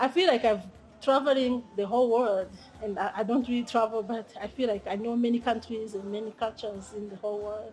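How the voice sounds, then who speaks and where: A woman with a Rwandan accent, fairly high in pitch with ordinary pitch variation, at a fairly quick pace. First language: Kinyarwanda. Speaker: language teacher and translator. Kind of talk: interview. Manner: halting, with many fillers.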